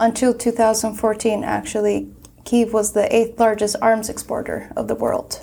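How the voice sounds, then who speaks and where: A woman speaks with a Turkish accent at a moderate pace. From Turkey, Istanbul. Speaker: graduate student, panelist. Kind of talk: panel discussion.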